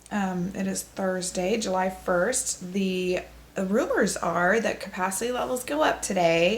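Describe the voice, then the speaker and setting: Fairly slow speech with ordinary pitch variation against noticeable background noise. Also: woman, medium pitch for a woman. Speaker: travel podcaster. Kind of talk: casual video diary chat.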